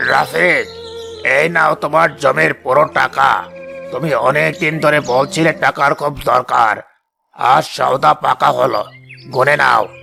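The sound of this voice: Putting on a cartoonish character voice, a man talks at a fairly slow pace with a fairly high pitch while faint music plays in the background.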